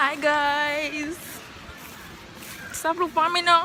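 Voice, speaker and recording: A woman at a high pitch and very slow pace, with monotone, flat intonation over noticeable background noise. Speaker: vlogger. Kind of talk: travel vlog. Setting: outdoors. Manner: quiet.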